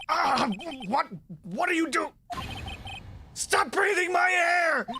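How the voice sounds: A put-on character voice, bright and sharp in tone, slow in pace and lively in intonation. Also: man, extremely high pitch for a man.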